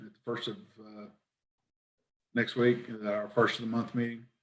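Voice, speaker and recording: A man's voice with audible room echo. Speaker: council member. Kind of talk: council meeting discussion. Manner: soft-spoken.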